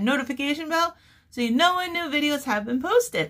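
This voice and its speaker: A woman speaks in a raised, projected voice with a bright, sharp tone. The background is quiet. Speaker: crochet channel host. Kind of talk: casual vlog chat. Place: home room. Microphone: phone near.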